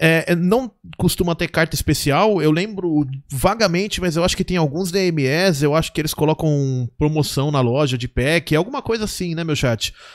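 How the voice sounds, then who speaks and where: An animated man with a fairly high pitch, lively intonation and a moderate pace over a quiet background. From Brazil, Santo André, São Paulo (ABC region). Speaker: gaming youtuber and streamer. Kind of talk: live gameplay commentary. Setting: live stream at home. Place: home room. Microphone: headset.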